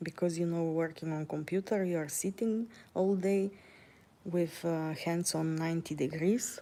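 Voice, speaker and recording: A woman with a Bulgarian accent speaks in a dark, mellow tone with fairly even intonation. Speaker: vlogger. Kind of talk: casual vlog monologue while walking. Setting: outdoors, walking. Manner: hesitant, many fillers.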